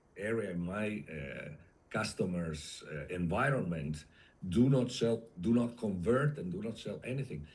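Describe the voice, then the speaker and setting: A man's somewhat breathy, fairly low voice at a fairly slow pace, with very wide pitch swings. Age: 60s. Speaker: industrial sales consultant. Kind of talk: interview. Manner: halting, with many fillers.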